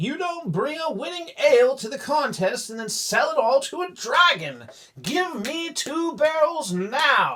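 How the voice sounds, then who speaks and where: A man talks at a fairly slow pace in a put-on character voice. His pitch is extremely high. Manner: angry, shouting.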